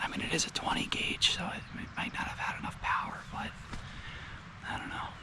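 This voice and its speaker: Someone whispers at a moderate pace, with audible room echo and noticeable background noise. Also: man. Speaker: hunter and vlogger. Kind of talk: casual vlog narration. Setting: outdoors. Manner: soft-spoken.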